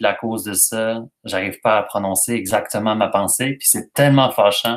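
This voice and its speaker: At a fairly quick pace, a man with a medium-pitched voice speaks in a Quebec accent. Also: very clean recording, silent background. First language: French. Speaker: YouTuber. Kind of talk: live stream chat reading comments. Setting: live stream.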